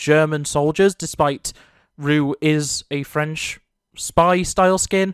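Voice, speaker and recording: The speaker has a British accent. The recording is very clean with a silent background. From Britain. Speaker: gaming YouTuber. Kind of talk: opinion commentary video. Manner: earnest.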